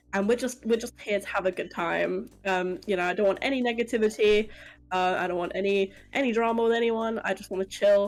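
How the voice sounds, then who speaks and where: The recording is very clean, with a silent background. A woman at medium pitch talks at a fairly quick pace with fairly even intonation. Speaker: streamer. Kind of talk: casual chat. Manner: loud.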